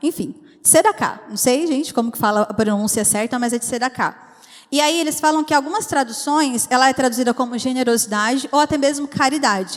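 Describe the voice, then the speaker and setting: Speech moves fairly quickly. The pitch varies in an ordinary way. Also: woman, high pitch for a woman. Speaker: preacher. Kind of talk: sermon. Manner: fast.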